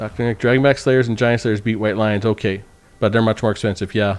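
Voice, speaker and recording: A man with a slight Canadian accent speaks with fairly even intonation. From Canada, northern Saskatchewan. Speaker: game streamer. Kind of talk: live commentary. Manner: casual, halting.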